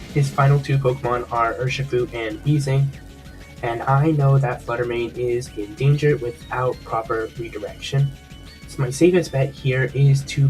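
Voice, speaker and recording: Music plays in the background as a man of medium pitch talks at a moderate pace with fairly even intonation. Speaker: gaming commentator. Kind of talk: game match commentary.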